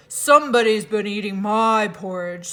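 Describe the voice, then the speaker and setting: A gruff, put-on character voice at a fairly high pitch and moderate pace. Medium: read story.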